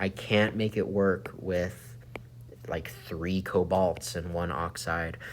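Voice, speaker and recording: A man's very deep, low voice with vocal fry and lively intonation, at a fairly slow pace. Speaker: chemistry teacher. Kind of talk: tutorial.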